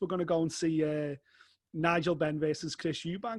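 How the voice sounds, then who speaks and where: Talking at a fairly quick pace, a man uses a high pitch in a Liverpool accent. His voice sounds dry and close, with no echo. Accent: Liverpool (Scouse) English. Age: 40s. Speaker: fight sports journalist. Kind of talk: casual interview chat. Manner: animated.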